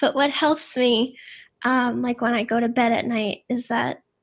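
A woman speaks with an American accent at a high pitch and fairly even intonation. Her pace is fairly slow, and the recording is very clean, with a silent background. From Boston. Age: 30s. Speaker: podcast host and scientist. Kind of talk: interview.

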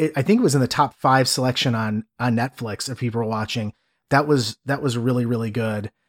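A man with an American accent has a normal speaking voice, talking at a fairly quick pace with ordinary pitch variation. The recording is very clean with a silent background and a dry, close sound with no echo. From US Midwest, Cleveland. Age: 30s. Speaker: podcast host. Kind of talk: casual chat.

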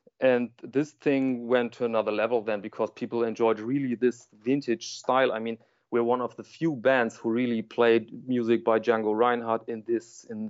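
Speaking with a German accent, a man keeps a medium pitch and fairly even intonation at a moderate pace. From Germany. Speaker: watch YouTuber and print journalist. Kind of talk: interview conversation. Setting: remote call.

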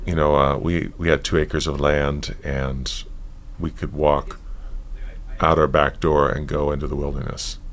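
Over noticeable background noise, a man speaks at a moderate pace. His very deep, low voice has a monotone, flat intonation. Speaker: yoga teacher and author. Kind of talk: interview conversation.

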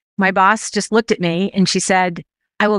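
A woman talks at a very fast pace in an animated tone. The sound is dry and close with no echo, on a very clean recording with a silent background. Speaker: sales leader. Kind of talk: casual interview chat. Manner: animated, high energy.

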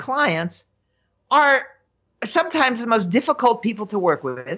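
A woman's high voice with very wide pitch swings, at a moderate pace. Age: 70s. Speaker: money and emotions coach, author. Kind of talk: interview.

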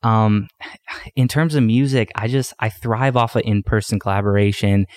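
A plain, everyday voice with a Canadian accent, fairly slow in pace, very even in loudness, in a dry, close sound with no echo. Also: man. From Canadian prairies. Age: 20s. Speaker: dance music artist. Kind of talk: casual interview chat.

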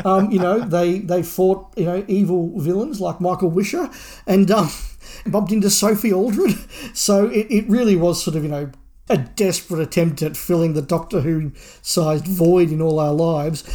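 A man with an Australian accent speaks at a high pitch in a dark, mellow tone with ordinary pitch variation. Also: moderate pace, very clean recording, silent background. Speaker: podcast co-host. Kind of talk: casual chat.

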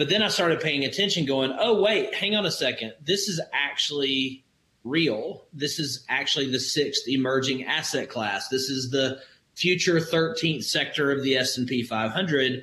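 With a Southern US accent, a man speaks at a fairly slow pace with ordinary pitch variation. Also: fairly high pitch for a man. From Alabama, US South. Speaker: crypto investor and business owner. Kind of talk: interview.

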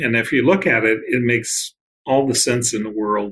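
A man with an American accent talks in a normal speaking voice at medium pitch with ordinary pitch variation. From US Midwest. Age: 60s. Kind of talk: interview conversation.

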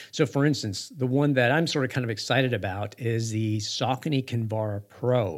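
The speech moves at a moderate pace with ordinary pitch variation and hardly any pauses. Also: man, medium pitch for a man. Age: 50s. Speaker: podcast host and running store marketing director. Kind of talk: solo podcast monologue. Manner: halting, many fillers.

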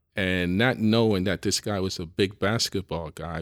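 In a New York accent, a man speaks at a moderate pace with a very deep, low voice and fairly even intonation. The recording is very clean, its background silent. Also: dry, close sound with no echo. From New York City (the Bronx). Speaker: business executive. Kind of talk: interview conversation. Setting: in person, across from the host.

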